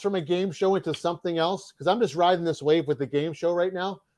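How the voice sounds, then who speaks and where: A man in a Boston accent talks at a fairly quick pace over a quiet background. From Massachusetts, north of Boston. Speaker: mail carrier and YouTube game show host. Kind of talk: interview.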